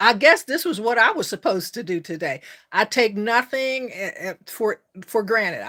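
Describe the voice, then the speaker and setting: In a bright, sharp and warm, enthusiastic tone, a woman speaks at a moderate pace and a fairly high pitch, with a dry, close sound with no echo on a very clean recording with a silent background. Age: 60s. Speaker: life coach and YouTuber. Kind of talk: live stream chat with viewers. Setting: live stream.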